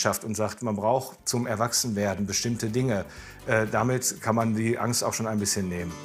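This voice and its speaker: Faint music sits in the background as a man speaks with fairly even intonation. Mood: calm, reassuring.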